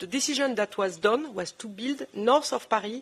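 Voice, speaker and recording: A woman's fairly high pitch with lively intonation, in a French accent. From southern France. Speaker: former politician. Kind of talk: panel discussion. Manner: halting.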